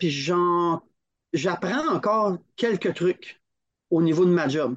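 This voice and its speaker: A man speaks with a Quebec accent at a high pitch. He goes at a very slow pace. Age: 50s. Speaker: climbing federation training director. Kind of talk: casual interview. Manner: animated, laughing often.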